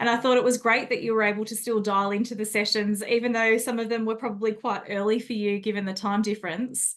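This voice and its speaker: A woman with an Australian accent, fairly high in pitch, at a fairly quick pace. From Australia, Sydney. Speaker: podcast host. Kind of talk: interview.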